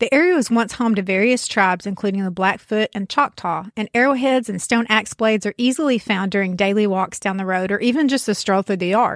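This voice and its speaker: In a rural Southern US accent, a woman speaks at medium pitch with ordinary pitch variation, in a very clean recording with a silent background and a dry, close sound with no echo. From US South, rural backwoods. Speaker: podcast host. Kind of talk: storytelling narration.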